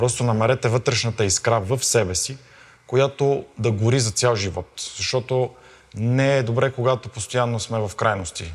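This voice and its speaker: A man talks in a normal speaking voice at a medium pitch and a moderate pace. His pitch varies in an ordinary way. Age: 30s. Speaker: fitness coach. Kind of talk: interview and fitness testing. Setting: gym.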